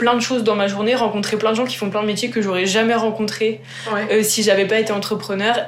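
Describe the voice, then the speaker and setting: Over music in the background, a woman with a fairly high pitch speaks amid audible room echo. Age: 20s. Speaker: startup co-founder, agronomist. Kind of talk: interview.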